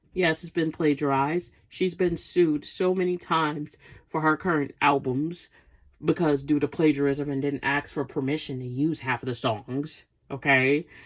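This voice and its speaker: Speaking at a moderate pace with a New York accent, a woman uses a very deep, low pitch on a very clean recording with a silent background. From Brooklyn, New York. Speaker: podcast host. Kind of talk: casual rant. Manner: animated.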